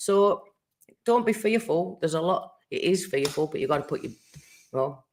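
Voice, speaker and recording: A woman talks at a moderate pace with long, frequent pauses. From Cumbria, northern England. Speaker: tarot and rune reader. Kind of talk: live stream card reading. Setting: YouTube live stream.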